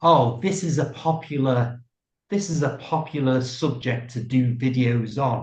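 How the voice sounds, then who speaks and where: A man speaks with a British accent at medium pitch. His voice is somewhat breathy. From UK. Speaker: YouTuber. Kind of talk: interview answer.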